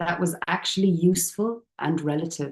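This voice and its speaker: Someone with an Irish accent speaks at a fairly slow pace. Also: woman. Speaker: youth and community worker. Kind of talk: presentation. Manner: soft-spoken.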